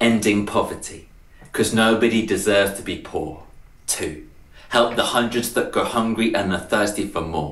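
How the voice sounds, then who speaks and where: A man talks at a moderate pace with long, frequent pauses, and audible room echo surrounds his voice. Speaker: poet. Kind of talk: slam poetry performance. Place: home room. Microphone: webcam.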